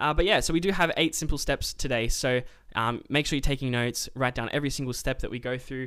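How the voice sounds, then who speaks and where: At a very fast pace, a man speaks in a bright, sharp, fairly high voice with ordinary pitch variation. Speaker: podcast host. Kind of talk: casual chat. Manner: laughs often, chatty.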